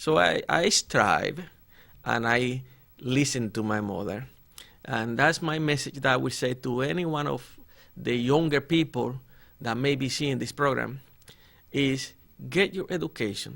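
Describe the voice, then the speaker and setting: With a Spanish accent and lively intonation, a man speaks at a fairly slow pace, leaving long, frequent pauses. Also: medium pitch for a man. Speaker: politician. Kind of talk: interview. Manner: formal.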